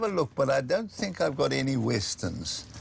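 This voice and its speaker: A man speaks over noticeable background noise. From South Africa. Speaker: pawnshop owner. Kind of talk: casual chat. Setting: pawnshop.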